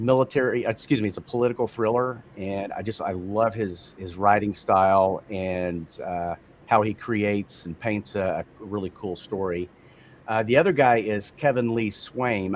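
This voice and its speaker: With a Texan accent, a man speaks at a moderate pace in a fairly low voice. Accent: Texan American. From Texas, Amarillo. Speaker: audiobook narrator. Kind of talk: interview. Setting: livestream.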